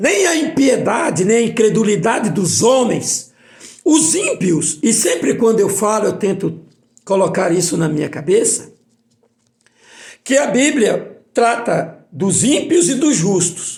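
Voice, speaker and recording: A man talks at a very slow pace in a high pitch. His pitch swings are very wide. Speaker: preacher. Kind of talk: bible study sermon.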